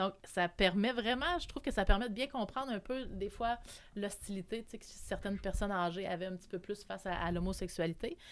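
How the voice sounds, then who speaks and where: A woman with an ordinary speaking voice, medium pitch, ordinary pitch variation, a fairly quick pace, and big swings in loudness. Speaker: community organization worker. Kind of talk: casual chat.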